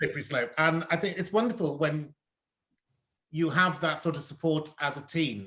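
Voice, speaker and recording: The voice is loud and bright with a sharp tone, in a slight Cardiff accent. It keeps a moderate pace with ordinary pitch variation. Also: man, fairly high pitch for a man. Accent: slight Cardiff twinge. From South Yorkshire. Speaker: drag performer and host. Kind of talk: casual interview. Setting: online live stream.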